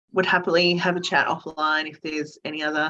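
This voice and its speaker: A woman with an Australian accent talks very fast at a fairly low pitch in a monotone, flat way. Her tone is bright and sharp over a quiet background. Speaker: recruitment director. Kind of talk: webinar presentation Q&A.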